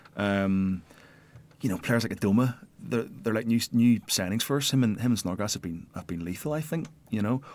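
With a normal speaking voice, a man talks at a fairly quick pace in a fairly low register, using ordinary pitch variation. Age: 30s. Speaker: football fan pundit. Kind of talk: casual chat.

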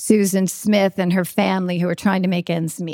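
A woman with a Long Island accent speaks at a moderate pace with fairly even intonation. The recording is very clean and the background silent. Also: dry, close sound with no echo. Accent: Long Island New York. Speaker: TV news anchor and reporter. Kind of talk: acceptance speech with humorous anecdotes. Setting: stage with audience at awards event.

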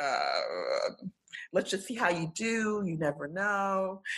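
A woman speaks with a New York accent. Her pace is very slow. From Brooklyn, New York. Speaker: finance attorney. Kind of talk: casual chat.

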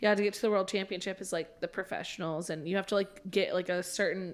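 A woman with an American accent speaks in a monotone, flat intonation. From Oklahoma. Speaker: podcast guest. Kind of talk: casual chat.

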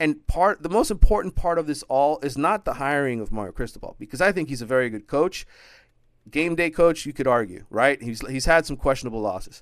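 Over a quiet background, a man with a plain, everyday voice speaks at a fairly quick pace and fairly high pitch, his intonation lively. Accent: American. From Miami, Florida. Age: 40s. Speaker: sportswriter. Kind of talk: casual chat.

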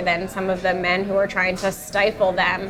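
This voice carries an American accent. Clear noise can be heard in the background. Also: woman. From New York City. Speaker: writer and editor. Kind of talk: casual chat over dinner. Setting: restaurant dinner table.

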